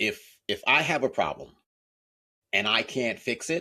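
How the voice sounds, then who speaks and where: A man talks at a fairly slow pace. His voice carries vocal fry. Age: 60s. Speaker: author and accountability coach. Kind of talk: interview.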